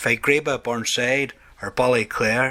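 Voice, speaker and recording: The speaker is a man. He has an Ulster Scots accent. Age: old. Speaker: poet. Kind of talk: poetry reading.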